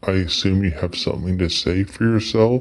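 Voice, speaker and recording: Using a put-on character voice with a very deep, low pitch, a man speaks at a moderate pace. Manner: sneering.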